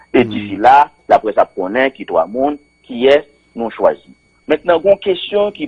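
A man at a fairly slow pace against a quiet background. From Haiti. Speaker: opposition spokesman. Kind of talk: radio interview. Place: studio.

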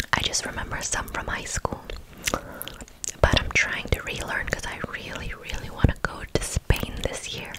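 A soft-spoken woman whispering at a fairly slow pace. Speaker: ASMR creator. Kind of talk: casual chat. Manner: soft close-mic whisper, candy-sticky mouth. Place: home room. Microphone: studio mic.

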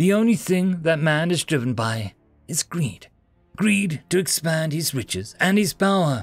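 A put-on character voice at a fairly slow pace, with big pitch swings and faint music in the background. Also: man, fairly high pitch for a man.

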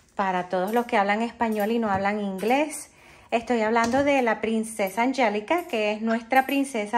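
Her pitch shows ordinary variation. The woman's delivery comes at a fairly slow pace. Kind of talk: casual vlog chat. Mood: warm, then earnest warning. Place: kitchen. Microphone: phone near.

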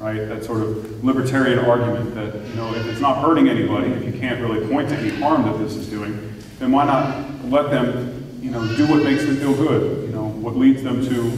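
With audible room echo and light background noise, a man talks at a fairly quick pace in a fairly even intonation. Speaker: parish priest. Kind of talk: talk to a parish audience. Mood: calm, reflective. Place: church.

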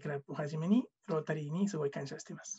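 With ordinary pitch variation, a man talks at a fairly high pitch over a quiet background. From Mexico. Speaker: former scholarship student. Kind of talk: testimony. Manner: halting. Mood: warm, grateful, smiling. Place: home room. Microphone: webcam.

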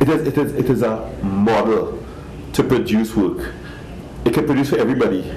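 Lively intonation from a man at a fairly slow pace, with audible room echo and light background noise. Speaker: fashion designer. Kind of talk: interview. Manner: halting; passionate. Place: shop.

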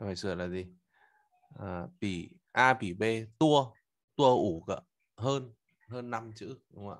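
A man talks very slowly, with long, frequent pauses and big swings in loudness. His pitch varies in an ordinary way against a quiet background. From Vietnam. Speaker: Chinese language teacher. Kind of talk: lecture. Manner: halting. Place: home room. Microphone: webcam.

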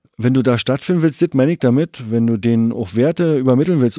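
Very clean recording with a silent background, a man at medium pitch with a dark, mellow tone, lively intonation and a fairly quick pace. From East Berlin (Treptow). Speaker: graffiti writer. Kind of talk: casual chat.

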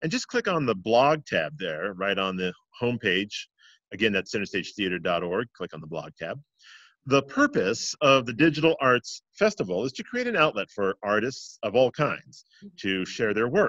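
A man with lively intonation at a moderate pace, dry sound with no echo, quiet background. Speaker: interview host. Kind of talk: host introduction. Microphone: webcam.

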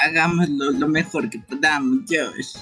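A man's put-on character voice, bright and sharp in tone with a slightly husky edge and fairly even intonation, faint music in the background. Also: fairly high pitch for a man, fairly slow pace.

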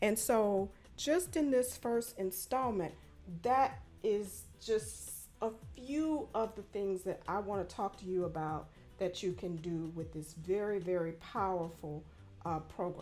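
A woman speaks at a fairly slow pace with faint music in the background. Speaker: attorney instructor. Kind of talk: tutorial. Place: home room. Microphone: studio mic.

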